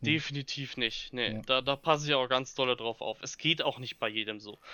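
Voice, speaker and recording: A man's normal speaking voice, with ordinary pitch variation and a fairly quick pace. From Ruhr area, Germany (Bochum). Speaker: Star Wars fan club leader. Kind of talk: casual interview.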